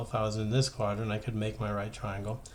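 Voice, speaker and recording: A somewhat breathy voice at a middle pitch comes from this male speaker. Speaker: high school math teacher. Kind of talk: tutorial. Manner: fast.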